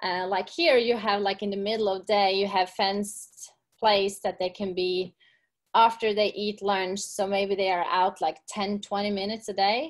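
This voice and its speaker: A woman with a Norwegian accent speaks at a medium pitch and moderate pace with fairly even intonation. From Norway. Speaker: gym owner and fitness coach. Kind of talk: casual interview. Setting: video call.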